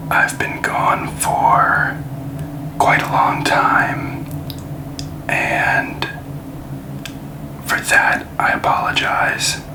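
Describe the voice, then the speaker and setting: Someone whispers in a relaxed tone at a very slow pace with long, frequent pauses over noticeable background noise. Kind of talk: ASMR card-opening video talking to the camera. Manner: quiet, relaxed, soft-spoken.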